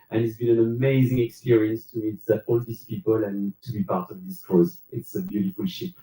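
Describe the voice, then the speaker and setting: A man with a French accent talks at a fairly quick clip, his medium-pitched voice somewhat breathy and his intonation lively. He hardly pauses, and the sound is dry and close with no echo. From France. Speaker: cruise passenger, railway worker. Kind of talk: live panel Q&A. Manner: hesitant with fillers.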